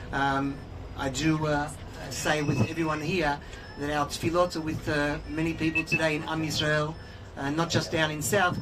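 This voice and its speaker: With an Australian accent, the speaker keeps a moderate pace and monotone, flat intonation. Noticeable background noise and audible room echo fill the recording. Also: man. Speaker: organization executive and spokesperson. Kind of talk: guided tour talk.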